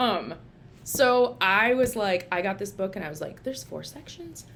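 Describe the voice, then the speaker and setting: A woman with an American accent talks at a moderate pace and medium pitch amid noticeable background noise. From Minnesota. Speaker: licensed social worker, therapist. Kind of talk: casual vlog book review. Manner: casual, filler-heavy.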